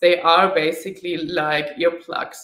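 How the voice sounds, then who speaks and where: A woman speaks with a German accent. Room echo is audible. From Germany. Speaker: motorcycle travel vlogger. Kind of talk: live stream Q&A. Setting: live online video stream. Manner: frequent filler hesitations. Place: home room.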